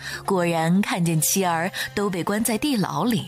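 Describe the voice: Plain reading aloud, pitch shifting in an ordinary way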